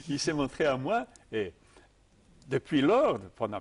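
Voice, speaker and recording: At medium pitch, a man speaks with very wide pitch swings. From Serbia, Belgrade. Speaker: tai chi teacher. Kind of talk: interview answer.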